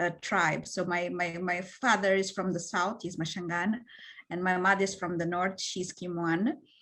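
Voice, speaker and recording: Moderately paced, a woman's medium-pitched voice carries a bright, sharp tone and a monotone, flat intonation. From Mozambique. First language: Portuguese. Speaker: panelist. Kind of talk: panel discussion. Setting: online video panel. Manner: halting, many fillers.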